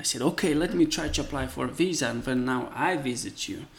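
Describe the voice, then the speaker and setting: The man speaks at a medium pitch, with vocal fry in his voice. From Moldova. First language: Romanian. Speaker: carpenter. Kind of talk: casual chat.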